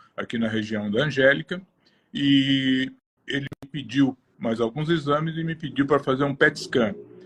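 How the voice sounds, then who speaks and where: It is an ordinary speaking voice, a man's at medium pitch with ordinary pitch variation and a moderate pace. The sound is dry and close, with no echo. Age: 60s. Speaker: cancer patient. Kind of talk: testimony.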